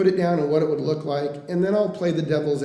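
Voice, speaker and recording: Audible room echo surrounds a voice with an American accent and fairly even intonation. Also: man. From Oregon coast (Coos Bay). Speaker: mortgage lender. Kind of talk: interview. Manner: fast.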